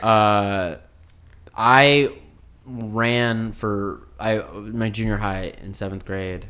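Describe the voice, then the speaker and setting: A man with an American accent and fairly low pitch, very slow pace, fairly even intonation, a bright, sharp tone, big swings in loudness, and audible room echo. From Minnesota, Saint Paul. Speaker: comedian and TV writer. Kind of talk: casual chat.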